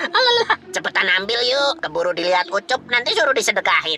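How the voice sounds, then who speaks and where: A cartoonish character voice, female-sounding and fairly high in pitch, moves at a fairly quick pace. Music plays in the background. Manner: casual slangy chatter.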